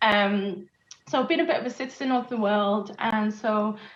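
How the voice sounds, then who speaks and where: A woman with a British accent speaks at a moderate pace, her medium pitch showing ordinary variation. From UK. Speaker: moderator, business executive. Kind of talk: panel moderation.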